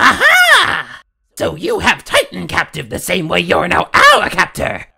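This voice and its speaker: Someone puts on a character voice and talks at a fairly slow pace. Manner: blustering, aggressive.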